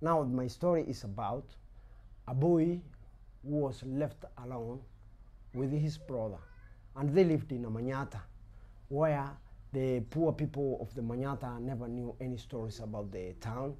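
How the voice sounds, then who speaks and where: Using long, frequent pauses, a man with a Kenyan accent talks at a medium pitch in a dark, mellow tone. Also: ordinary pitch variation, moderate pace. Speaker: storyteller. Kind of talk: oral folk story telling.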